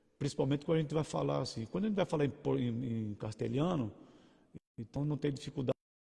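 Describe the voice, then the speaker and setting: A dark, mellow tone, somewhat breathy, with a dry, close sound and no echo. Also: man. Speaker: pastor. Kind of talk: sermon. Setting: livestream. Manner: halting.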